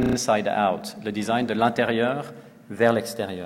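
Amid noticeable background noise and audible room echo, a man speaks at a fairly slow pace in a medium pitch. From Switzerland, Lausanne. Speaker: designer. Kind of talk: conference talk. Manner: hesitant, many fillers.

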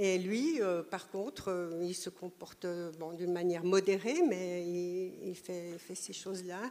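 The pace is very slow, with fairly even intonation. A woman speaks at a medium pitch in a dark, mellow tone. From Switzerland. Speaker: audience member. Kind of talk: audience question. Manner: halting.

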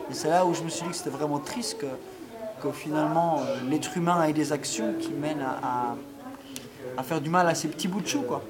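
A man talks at a fairly quick pace, broken by long, frequent pauses. The recording has audible room echo and noticeable background noise. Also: fairly high pitch for a man, ordinary pitch variation. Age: 20s. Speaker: university student. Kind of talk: interview. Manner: halting, many fillers.

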